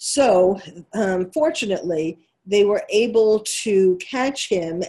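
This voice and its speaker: A woman with a New York accent, lively intonation and a dark, mellow tone. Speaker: psychiatrist and radio host. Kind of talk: opinionated talk radio monologue. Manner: halting, many fillers.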